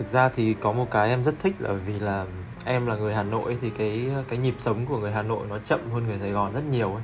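Speaking at a very fast pace, a man has a fairly low pitch and fairly even intonation. His voice is somewhat breathy. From Hanoi, northern Vietnam. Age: 20s. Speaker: photographer. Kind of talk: casual chat. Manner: halting.

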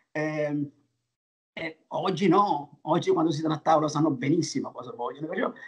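At a moderate pace, a man with a fairly high pitch speaks with ordinary pitch variation and long, frequent pauses. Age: 60s. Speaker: restaurateur. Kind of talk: interview. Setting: video call. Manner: halting.

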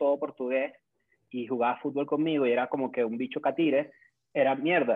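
A man with a Caracas accent speaks at a fairly high pitch and a fairly quick pace, with fairly even intonation. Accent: Venezuelan Spanish (Caracas). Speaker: content creator. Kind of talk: casual chat.

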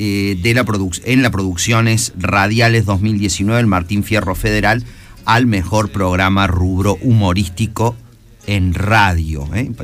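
A man with a fairly low pitch speaks at a very slow pace. His loudness is very even and his intonation fairly even. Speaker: university radio director and host. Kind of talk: radio interview.

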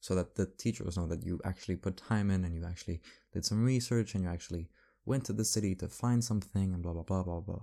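Over a silent background in a very clean recording, a man with a very deep, low voice and a dark, mellow tone speaks at a very fast pace with ordinary pitch variation. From France (Paris). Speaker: student podcaster. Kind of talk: casual solo monologue. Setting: home at night, late-night recording. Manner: rambling, self-correcting.

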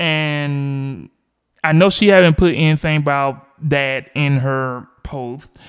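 A man talks at a very slow pace with a Southern US accent. His pitch is fairly high and his intonation fairly even. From US South, Georgia. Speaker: podcast host. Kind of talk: solo podcast monologue about politics. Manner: halting, many fillers.

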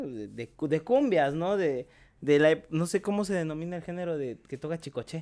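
A man's fairly high-pitched voice, dark and mellow in tone, at a moderate pace with lively intonation. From Mexico, Chiapas. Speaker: podcaster and content creator. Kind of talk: casual chat.

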